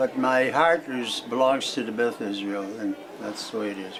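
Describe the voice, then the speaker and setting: Speaking with an American accent, a man keeps a moderate pace and ordinary pitch variation over noticeable background noise. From Springfield, Massachusetts. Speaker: elderly interviewee, retired cartoonist. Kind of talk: oral history interview.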